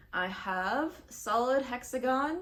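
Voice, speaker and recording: Noticeable background noise behind a woman speaking in an American accent. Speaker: crochet vlogger. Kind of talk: casual vlog chat. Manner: chatty, rambling with fillers.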